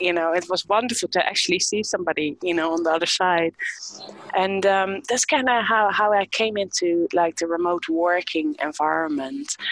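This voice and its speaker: With a dry, close sound and no echo, a woman speaks at a moderate pace and very even loudness, her fairly low pitch showing ordinary variation over noticeable background noise. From Netherlands. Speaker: HR entrepreneur. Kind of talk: interview. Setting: remote call. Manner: halting.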